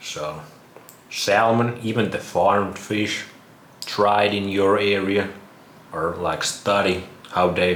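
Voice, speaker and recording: A man with a Finnish accent, fairly low-pitched and fairly even in intonation, at a very slow pace amid noticeable background noise and audible room echo. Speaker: vlogger. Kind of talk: casual monologue.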